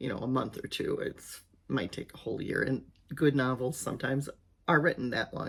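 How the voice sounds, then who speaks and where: A woman speaks at a fairly quick pace. Her very deep, low pitch shows ordinary variation. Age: 60s. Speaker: retired teacher and aspiring novelist vlogger. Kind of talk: casual vlog monologue. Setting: home office. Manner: halting, with many fillers.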